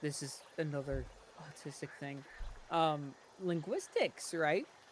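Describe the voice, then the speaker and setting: Speaking at a fairly slow pace with an American accent, a man has a fairly high pitch and fairly even intonation. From US, Connecticut. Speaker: gaming streamer. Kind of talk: casual chat.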